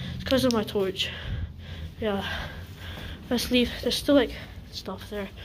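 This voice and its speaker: A woman speaks at a fairly quick pace with ordinary pitch variation. Noticeable background noise runs under her voice. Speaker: urban explorer vlogger. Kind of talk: casual vlog chat. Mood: nervous, excited. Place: empty room. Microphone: phone near.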